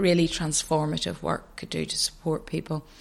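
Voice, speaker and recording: A woman at a moderate pace, in a Northern Irish accent. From Northern Ireland, County Antrim. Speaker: addiction charity chief executive. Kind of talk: interview.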